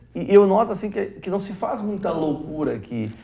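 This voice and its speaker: His pitch rises and falls over a very wide range. The man's pace stays moderate. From Brazil, Vale do Taquari, Rio Grande do Sul; Rio Grande do Sul, Brazil. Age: 50s. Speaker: TV host, business professor. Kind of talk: TV interview. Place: studio.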